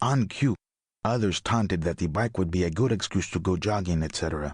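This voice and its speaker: A man with a Latin American accent, lively intonation and a fairly quick pace over a quiet background. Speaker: audiobook narrator. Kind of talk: audiobook memoir narration. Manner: smooth, clear.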